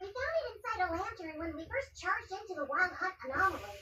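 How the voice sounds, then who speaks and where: Extremely high and squeaky, this put-on character voice races along at a very fast pace. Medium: video game.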